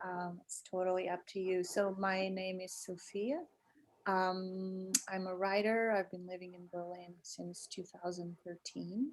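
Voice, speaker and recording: With a Portuguese accent, a woman speaks at a fairly slow pace and medium pitch. Her intonation is fairly even, while her loudness swings widely. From Portugal and England (Lisbon, London). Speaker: writer and podcast co-host. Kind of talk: casual interview. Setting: video call.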